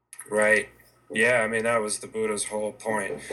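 A fairly low-pitched man in a monotone, flat intonation, over noticeable background noise. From New Mexico. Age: 40s. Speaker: tattoo artist. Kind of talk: casual chat. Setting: video call.

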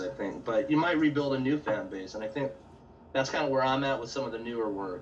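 A man with an American accent speaks fairly quickly in a medium pitch with ordinary pitch variation. Noticeable background noise and audible room echo are present. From Central California. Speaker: painter. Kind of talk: casual chat. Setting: video call.

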